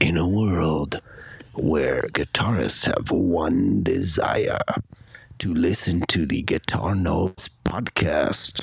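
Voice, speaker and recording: Using a put-on character voice, a man speaks at a very slow pace. His pitch is very deep and low. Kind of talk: announcer.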